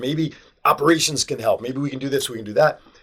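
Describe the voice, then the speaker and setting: A man rattles off his words very fast, with noticeable background noise around him. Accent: American. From New Jersey. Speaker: sales professional. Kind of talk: interview.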